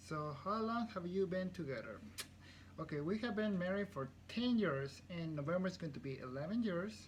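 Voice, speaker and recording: In a Spanish accent, a man speaks with a high pitch and lively intonation at a moderate pace. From Guatemala. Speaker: CNC programmer. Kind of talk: casual chat.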